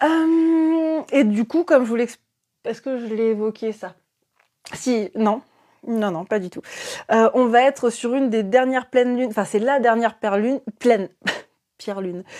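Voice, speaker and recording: A woman's fairly high voice has a dark, mellow tone and ordinary pitch variation. Long, frequent pauses and big swings in loudness mark her delivery. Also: moderate pace. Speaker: esoteric livestreamer. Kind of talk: casual live stream chat. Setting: live stream. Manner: hesitant with many fillers.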